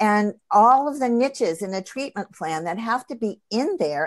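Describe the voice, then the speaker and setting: An unremarkable speaking voice moves at a moderate pace with lively intonation on a very clean recording with a silent background. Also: woman. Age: 60s. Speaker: integrative cancer practitioner and acupuncturist. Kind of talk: interview conversation.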